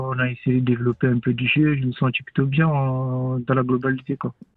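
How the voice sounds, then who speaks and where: Speech comes at a moderate pace. Background music is audible. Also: man. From Cameroon. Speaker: professional footballer. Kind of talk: radio interview.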